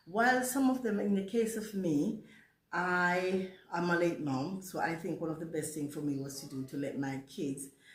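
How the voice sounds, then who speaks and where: With lively intonation and a fairly low pitch, a woman speaks at a moderate pace amid audible room echo. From Jamaica. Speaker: vlogger. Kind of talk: casual storytime monologue.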